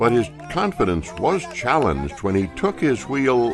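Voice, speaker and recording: With music in the background, a man talks at a fairly slow pace and a medium pitch. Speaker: documentary narrator. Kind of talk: documentary voiceover narration.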